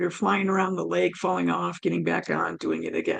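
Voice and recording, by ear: A woman's raspy, fairly low voice with a slightly husky edge, vocal fry, big pitch swings and a fairly quick pace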